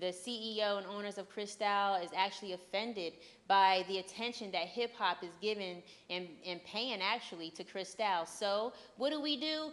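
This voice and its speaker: A woman speaks at a moderate pace in a medium pitch with ordinary pitch variation, an ordinary speaking voice, on a very clean recording with a silent background. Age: young. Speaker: TV talk show host. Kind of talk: interview; TV news segment. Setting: on-location TV shoot at a gallery. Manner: casual.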